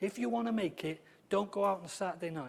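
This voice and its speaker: Lively intonation marks this man's high voice. He speaks with a slight Welsh accent. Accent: slight Welsh twang. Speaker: football club welfare and safeguarding officer. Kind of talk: conference talk. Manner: conversational, hesitant fillers.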